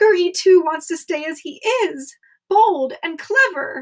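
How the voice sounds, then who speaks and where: A woman uses a put-on character voice at an extremely high pitch. It sounds squeaky and moves at a fairly slow pace. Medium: read story. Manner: speaks of self in third person.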